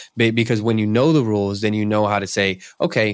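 A man with an American accent speaks in an animated tone at a fairly quick pace. His pitch is fairly low for a man, and the recording is very clean with a silent background. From US Northeast. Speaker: podcast host. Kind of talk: interview conversation.

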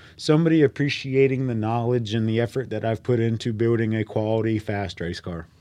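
Speaking at a fairly quick pace with hardly any pauses, a man with a Southern US accent uses a dark, mellow tone at a medium pitch with ordinary pitch variation. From North Carolina. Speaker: race car builder and driver. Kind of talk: podcast interview. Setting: studio.

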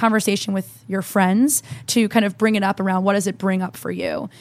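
This woman talks at a very fast pace, with a medium pitch and fairly even intonation. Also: very clean recording, silent background. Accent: American. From New Jersey. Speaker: entrepreneur. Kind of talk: interview.

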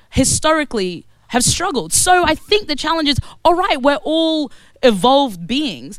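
Her Australian accent comes through as a woman speaks at a moderate pace. Her tone is animated, with very wide pitch swings. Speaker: activist. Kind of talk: panel debate.

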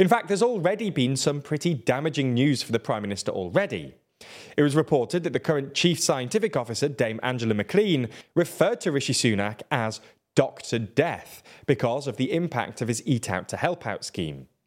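This man speaks at a fairly quick pace, his pitch swinging very widely. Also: fairly high pitch for a man. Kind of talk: news reading. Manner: formal, even-paced, neutral newsreader delivery.

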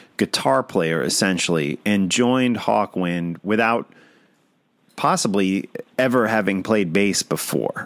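In an American accent, a man talks at a fairly slow pace in a fairly low register, an ordinary speaking voice with lively intonation and very even loudness. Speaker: podcast host. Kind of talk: casual chat.

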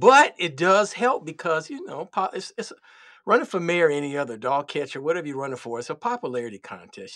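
This man's voice sits fairly high, with very wide pitch swings, a bright, sharp and animated tone, a fairly quick pace, and a very clean recording over a silent background. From Chicago, far south side. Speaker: podcaster. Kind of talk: casual chat.

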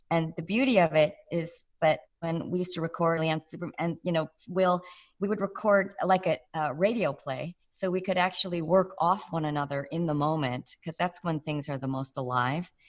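A woman with an American accent, fairly low in pitch, at a moderate pace. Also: ordinary pitch variation. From Chicago. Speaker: voice actor. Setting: video call.

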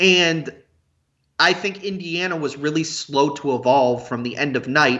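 In an American accent, a man with an ordinary speaking voice talks at a fairly high pitch. His pace is moderate and his pitch variation ordinary. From US Midwest, Cincinnati. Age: 30s. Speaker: college basketball recruiting analyst. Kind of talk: casual chat.

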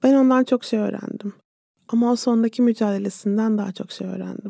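This woman has a dark, mellow tone and a fairly high pitch. She talks at a moderate pace with fairly even intonation, in a dry, close sound with no echo. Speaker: psychologist podcast host. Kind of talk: interview.

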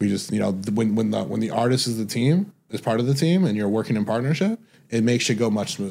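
At a very fast pace, a man with an American accent speaks in a dark, mellow tone at a medium pitch with ordinary pitch variation. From Detroit, Michigan. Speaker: music manager and record label executive. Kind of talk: casual interview.

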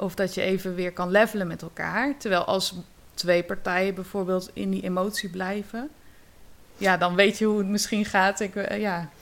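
A woman at medium pitch, a plain, everyday voice, moderate pace. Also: fairly even intonation. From Netherlands, Zeeland. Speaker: yoga teacher and drama therapist. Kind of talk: casual interview.

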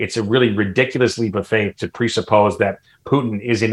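This man has an ordinary speaking voice at medium pitch, talking at a moderate pace with an American accent and ordinary pitch variation. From US Midwest, Chicago suburbs. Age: 50s. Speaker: political commentator. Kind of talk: interview discussion.

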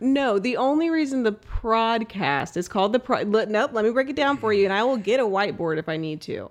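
A woman with a plain, everyday voice and an American accent talks at a fairly quick pace in a fairly high pitch, with hardly any pauses over a quiet background. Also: lively intonation. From US South. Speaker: host's wife. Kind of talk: casual chat.

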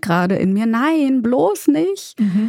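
Very wide pitch swings in a woman's somewhat breathy voice. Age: 30s. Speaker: grieving guest. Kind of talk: personal testimony in therapy talk.

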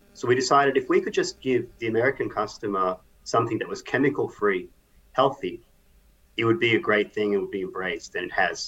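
Very fast speech in an Australian accent, broken by long, frequent pauses. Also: man. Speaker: company CEO. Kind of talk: interview.

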